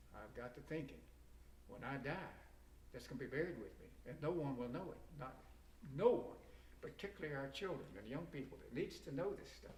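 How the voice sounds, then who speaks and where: Audible room echo surrounds the recording. A man speaks at a fairly quick pace. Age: 80s+. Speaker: war veteran. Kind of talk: interview. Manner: halting.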